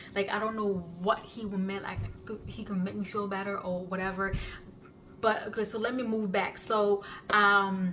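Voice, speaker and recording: At a moderate pace, a woman speaks in a monotone, flat intonation at medium pitch, leaving long, frequent pauses. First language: non-English (Kenyan language). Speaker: YouTuber sharing life story. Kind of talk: personal testimony. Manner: halting, many fillers and restarts.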